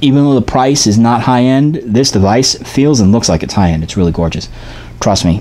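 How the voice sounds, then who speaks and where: Very rapid male speech amid noticeable background noise. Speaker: vape product reviewer. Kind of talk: product review video. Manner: fast; animated.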